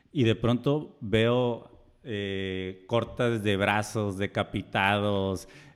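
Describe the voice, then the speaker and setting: A man with a fairly low voice speaks at a very slow pace, his intonation fairly even. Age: 30s. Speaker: podcast co-host. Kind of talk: casual chat. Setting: recorded on camera.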